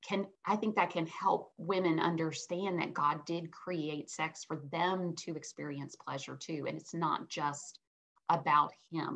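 With a fairly low pitch and ordinary pitch variation, a woman speaks at a fairly slow pace. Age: 50s. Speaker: clinical psychologist and sex therapist; guest. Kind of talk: interview about marriage and sex. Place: home room. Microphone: webcam.

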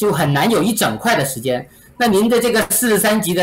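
The man's intonation is lively. He talks fairly quickly. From mainland China. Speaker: real estate agent; interviewee. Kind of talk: interview. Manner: halting with many fillers. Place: home room.

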